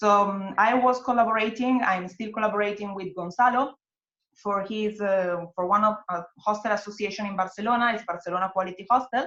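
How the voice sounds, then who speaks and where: Delivered at a fairly quick pace, the speech has fairly even intonation and an Italian accent. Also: woman, medium pitch for a woman. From Italy. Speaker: hostel worker and network organizer. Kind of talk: webinar interview. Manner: halting, many fillers.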